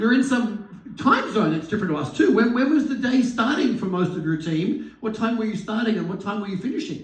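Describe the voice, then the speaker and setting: A man with an Australian accent, high-pitched for a man, lively in intonation, at a fairly quick pace, over noticeable background noise. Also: hardly any pauses. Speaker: business coach, event host. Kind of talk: live event interview.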